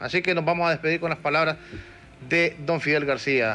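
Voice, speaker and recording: There is music in the background as a man talks. His voice is fairly high and his pace fairly quick. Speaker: TV and radio show host. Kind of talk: interview.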